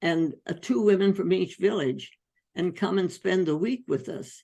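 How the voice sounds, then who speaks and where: Her voice sits fairly low for a woman, dark and mellow in tone with vocal fry and ordinary pitch variation. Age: 80s+. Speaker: physician. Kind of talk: interview answer.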